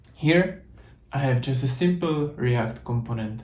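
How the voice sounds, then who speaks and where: A man speaks with a Czech accent in a dark, mellow tone. His voice is somewhat breathy, and audible room echo surrounds it. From Czech Republic. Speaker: software developer, conference speaker. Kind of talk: tech talk with code demo.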